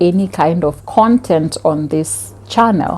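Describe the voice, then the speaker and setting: A woman with a Kenyan accent, medium pitch and a dark, mellow tone, at a fairly slow pace with ordinary pitch variation. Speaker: vlogger. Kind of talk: casual vlog talk.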